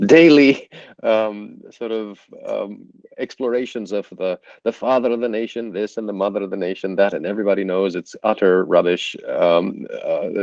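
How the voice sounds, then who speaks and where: A man speaks at a moderate pace with a fairly low pitch. His pitch varies in an ordinary way. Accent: Romanian. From Romania. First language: Romanian. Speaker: leadership consultant. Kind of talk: casual interview. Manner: hesitant, many fillers.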